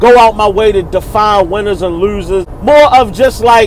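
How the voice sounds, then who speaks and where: A man with a Baltimore accent, high-pitched, at a moderate pace with ordinary pitch variation, over noticeable background noise. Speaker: battle rap reviewer, channel host. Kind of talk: casual video commentary. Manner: casual, informal slang.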